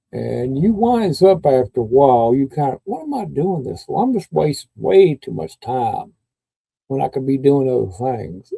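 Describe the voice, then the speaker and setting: A man talks with a Kentucky accent. The sound is dry and close, with no echo. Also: moderate pace. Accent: Kentucky Southern US. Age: 60s. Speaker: YouTube live streamer. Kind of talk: casual live stream chat. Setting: live stream. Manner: halting, with many fillers.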